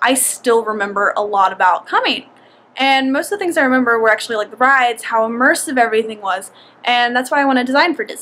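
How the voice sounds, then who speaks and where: With noticeable background noise, a woman with a Southern US accent talks at a very fast pace and a fairly high pitch, with ordinary pitch variation. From US South, rural Georgia. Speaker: vlogger. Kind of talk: casual vlog monologue. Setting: outdoors.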